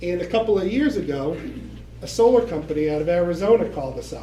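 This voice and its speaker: Over noticeable background noise and audible room echo, a high-pitched man with an American accent speaks at a fairly quick pace. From Boston, Massachusetts. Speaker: bank loan representative. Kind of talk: presentation to local residents.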